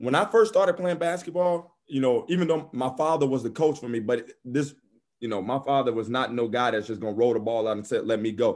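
Over a silent background on a very clean recording, a man with an American accent and medium pitch speaks fairly quickly in an unremarkable speaking voice with lively intonation. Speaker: former college basketball player. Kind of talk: interview.

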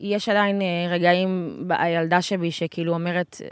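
A woman with an ordinary speaking voice, pitched fairly low, talks at a moderate pace with ordinary pitch variation in a very clean recording with a silent background. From Israel, Gaza border kibbutz. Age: 20s. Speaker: interviewee, local resident. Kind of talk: interview.

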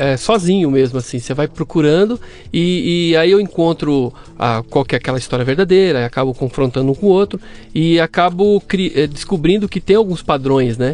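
A man speaks at a moderate pace with an unremarkable speaking voice, pitched fairly high. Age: 40s. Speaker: systems analyst and fact-checking site owner. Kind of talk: casual interview chat.

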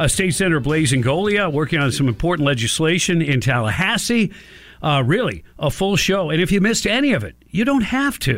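The voice moves at a fairly quick pace with very wide pitch swings while its loudness stays very even. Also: man, fairly high pitch for a man. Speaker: radio talk show host. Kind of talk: talk radio. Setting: radio studio.

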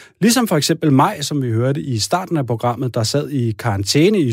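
A man with a somewhat breathy, medium-pitched voice speaks at a moderate pace with lively intonation. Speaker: radio host. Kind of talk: radio magazine presenting.

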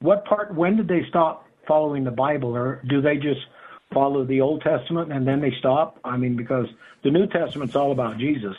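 A man with a fairly high pitch talks at a fairly quick pace in an ordinary speaking voice, with ordinary pitch variation. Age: 50s. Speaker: caller. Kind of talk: call-in question.

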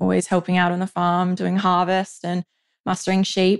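A woman with an Australian accent, quiet background. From central west New South Wales, Australia. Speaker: fashion label founder from a farming family. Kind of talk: interview. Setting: family farm.

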